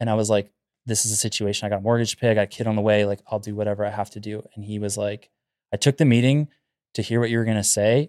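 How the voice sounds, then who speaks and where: A man speaks very fast in a flat, monotone delivery at a fairly low pitch. The recording is very clean and dry, close-miked with no echo and a silent background. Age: 30s. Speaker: carpenter. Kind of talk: casual chat.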